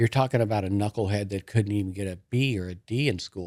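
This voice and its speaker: Speaking fairly quickly at a fairly low pitch, a man comes through on a very clean recording with a silent background. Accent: Southern Californian. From US West Coast, Lakewood, California. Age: 60s. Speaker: business owner in recovery. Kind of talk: personal testimony in interview. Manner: casual, with frequent fillers and repetitions.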